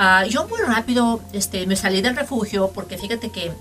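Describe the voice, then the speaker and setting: Through noticeable background noise, a woman speaks with a medium pitch and ordinary pitch variation. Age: 50s. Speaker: podcast host. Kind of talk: casual chat.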